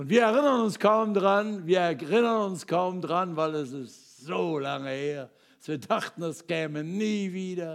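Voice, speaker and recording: A man's high-pitched voice at a fairly slow pace, with lively intonation and big swings in loudness. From Ruhr area, Germany. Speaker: preacher. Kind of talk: sermon.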